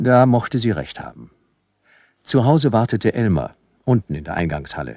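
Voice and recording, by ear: In a put-on character voice, a man with fairly low pitch and big pitch swings talks at a moderate pace, his slightly mellow tone carrying a slightly husky edge, on a very clean recording with a silent background.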